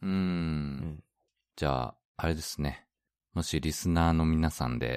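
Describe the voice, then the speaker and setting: A man with a very deep, low pitch speaks at a moderate pace with ordinary pitch variation, in a dry, close sound on a very clean recording with a silent background. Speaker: podcast co-host, expat worker in Hong Kong. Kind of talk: casual chat.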